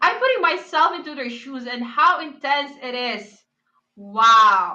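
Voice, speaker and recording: A woman's raised, projected, high-pitched voice, bright and sharp in tone, at a very slow pace with lively intonation and big swings in loudness. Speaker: esports caster. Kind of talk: live commentary. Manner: stuttering.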